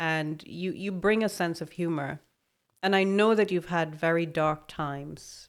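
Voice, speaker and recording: A woman with an ordinary speaking voice talks at a fairly slow pace, her pitch fairly low and her intonation fairly even, on a very clean recording with a silent background. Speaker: podcast host. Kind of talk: interview chat. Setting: studio.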